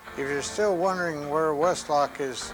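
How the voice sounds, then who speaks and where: A man with ordinary pitch variation over background music. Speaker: war veteran. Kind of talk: personal war testimony.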